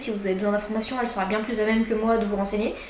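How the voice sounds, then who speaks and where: A woman's fairly high voice, with noticeable background noise and audible room echo. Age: 20s. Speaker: YouTuber. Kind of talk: casual vlog explainer. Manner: halting, many fillers.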